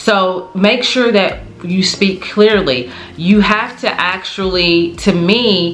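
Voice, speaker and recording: Mumbling, a woman is heard with audible room echo and noticeable background noise. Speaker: teacher, lifestyle vlogger. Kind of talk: casual advice monologue. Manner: tends to mumble.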